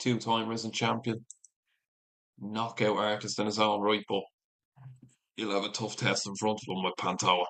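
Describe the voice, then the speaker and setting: A man with a Dublin accent at a moderate pace, monotone and flat, with long, frequent pauses. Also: fairly low pitch for a man. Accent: Irish (Dublin). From Ireland. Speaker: MMA streamer. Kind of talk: live watch-along commentary. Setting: livestream.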